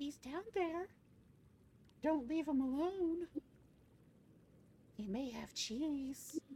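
A put-on character voice speaks at a high pitch and a very slow pace.

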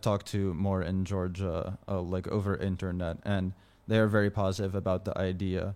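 A man with an American accent, fairly low in pitch, monotone and flat in intonation, at a moderate pace, on a very clean recording with a silent background. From United States. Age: 20s. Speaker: programmer and meme page admin. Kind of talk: interview.

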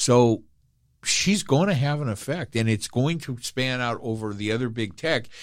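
In a very clean recording with a silent background, a man with a normal speaking voice and medium pitch talks at a moderate pace with lively intonation. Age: 60s. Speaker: podcast co-host. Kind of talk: casual chat. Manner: jokey.

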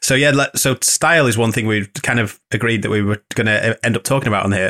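Speaking in a playful tone with a northern English accent, a man keeps a medium pitch, a moderate pace and ordinary pitch variation. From northern England. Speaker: podcast host and wedding photographer. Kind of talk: casual interview chat. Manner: joking, playful.

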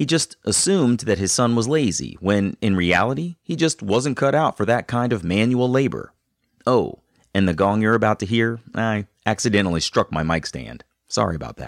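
A man with an unremarkable speaking voice, fairly low in pitch, at a moderate pace with lively intonation, in a dry, close sound with no echo. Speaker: podcast host. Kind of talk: scripted narration and interview. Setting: video call.

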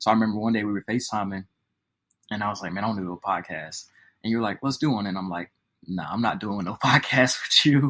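A man's very fast, bright, sharp voice, fairly low in pitch, with ordinary pitch variation. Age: 20s. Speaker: podcast co-host. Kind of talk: casual chat.

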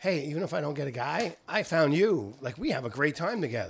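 A plain, everyday voice. Its intonation is lively. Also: man. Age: 60s. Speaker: podcast host. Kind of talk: casual chat.

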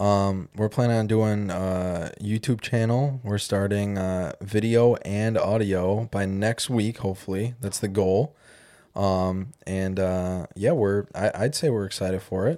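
Recorded very cleanly against a silent background, a man with an American accent speaks at a fairly low pitch in a dark, mellow tone. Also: ordinary pitch variation, fairly slow pace. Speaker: podcast host. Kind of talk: casual chat.

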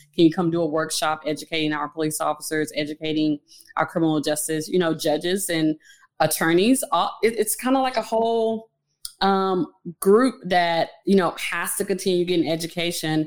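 Ordinary pitch variation and a moderate tempo mark a normal speaking voice. No background sound intrudes on this very clean recording. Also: woman, fairly low pitch for a woman. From Fort Worth, Texas. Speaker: social worker and domestic violence advocate. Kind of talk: interview.

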